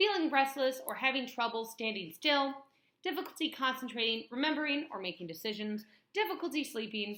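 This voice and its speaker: A woman's raised, projected voice with an American accent, high in pitch with very wide pitch swings, bright and sharp in tone, at a fairly quick pace. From US Midwest, northwest Illinois. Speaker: vlogger. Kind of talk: vlog talk to camera. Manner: fast.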